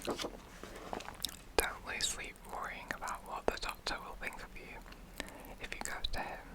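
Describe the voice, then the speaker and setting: Whispering against noticeable background noise. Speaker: ASMR creator reading a wartime health manual. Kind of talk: vintage-style broadcast reading for sleep, ASMR role play. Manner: whispered, soft, relaxing.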